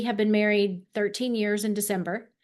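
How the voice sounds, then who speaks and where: Against a quiet background, a woman with an American accent talks at a moderate pace and a fairly high pitch. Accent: slight Southern Texan, toned down. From Texas, Dallas. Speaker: former TV host, speaker and camera coach. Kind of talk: interview conversation.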